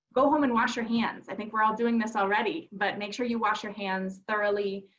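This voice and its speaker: A woman with a Minnesotan accent, a fairly high pitch, fairly even intonation and a fairly quick pace. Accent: Minnesota. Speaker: advocacy organization presenter. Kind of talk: webinar presentation.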